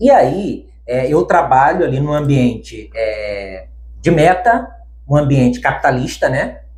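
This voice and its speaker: A man talks at a very slow pace amid audible room echo. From Bahia backlands, Brazil. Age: 30s. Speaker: bank worker, pet sheep owner. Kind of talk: interview, personal story.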